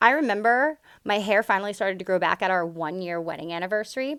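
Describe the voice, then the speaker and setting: A woman speaks very fast at a medium pitch. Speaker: yoga teacher and spiritual healer vlogger. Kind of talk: personal storytelling vlog. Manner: loud and upfront.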